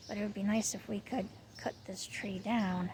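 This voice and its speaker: A soft-spoken woman at a medium pitch and moderate pace, with ordinary pitch variation. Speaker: vlogger. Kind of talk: casual vlog. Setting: outdoors.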